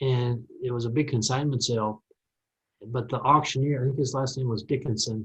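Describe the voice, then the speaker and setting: Somewhat breathy, a man speaks at medium pitch with monotone, flat intonation. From Minnesota, US. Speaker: farm machinery media personality. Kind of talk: podcast interview.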